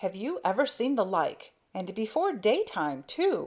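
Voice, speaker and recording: A woman uses a put-on character voice with a fairly high pitch. She speaks at a fairly slow pace. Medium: read story. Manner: rough, bossy.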